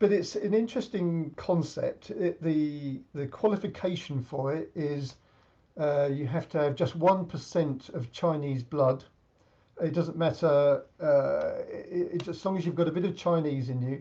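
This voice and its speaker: A man with an English accent speaks at a fairly slow pace, his dark, mellow tone set at a fairly high pitch and carrying ordinary pitch variation. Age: 70s. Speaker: senior badminton champion. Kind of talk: interview.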